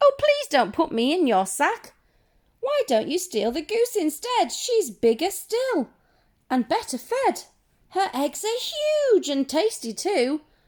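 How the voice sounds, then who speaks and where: The female-sounding voice is a put-on character voice, raised and projected, at an extremely high pitch with very wide pitch swings. The pace is fairly slow. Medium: read story.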